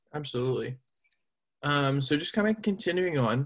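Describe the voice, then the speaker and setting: A man talks at a fairly quick pace in a somewhat breathy voice. His pitch varies in an ordinary way. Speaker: podcast host. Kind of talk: casual interview. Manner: halting, many fillers.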